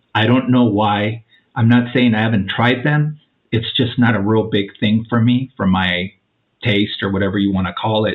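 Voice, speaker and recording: A man with a plain, everyday voice speaks at a fairly low pitch and a moderate pace with fairly even intonation. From Mexican-American family, US. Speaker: podcast guest sharing plant medicine experiences. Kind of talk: casual interview, personal testimony.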